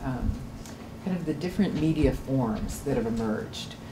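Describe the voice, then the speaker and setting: With noticeable background noise, a woman speaks at a moderate pace in a very deep, low pitch with lively intonation. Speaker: university program administrator. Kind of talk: presentation. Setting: stage with audience. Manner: halting. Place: classroom. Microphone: camera far.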